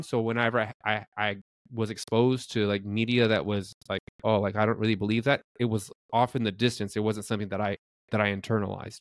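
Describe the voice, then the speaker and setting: A man with an ordinary speaking voice, at medium pitch and a fairly quick pace, with fairly even intonation. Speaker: podcast co-host. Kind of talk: casual chat.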